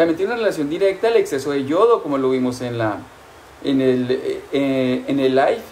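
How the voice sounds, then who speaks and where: Fairly high male voice at a moderate pace over light background noise. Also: lively intonation. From Colombia. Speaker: nutrition doctor. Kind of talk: live-streamed health talk. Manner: warm, affectionate. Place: home room. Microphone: phone near.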